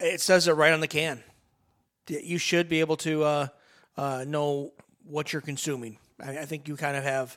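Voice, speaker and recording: Delivery is flat and monotone at a moderate pace, broken by long, frequent pauses. The recording is very clean, with a silent background. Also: man, fairly high pitch for a man. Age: 40s. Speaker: radio co-host. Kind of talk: casual chat.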